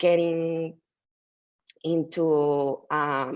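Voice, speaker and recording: A woman's very deep, low voice in a Mexican accent. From Mexico City. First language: Spanish. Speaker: artist. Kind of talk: interview. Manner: halting, with many fillers.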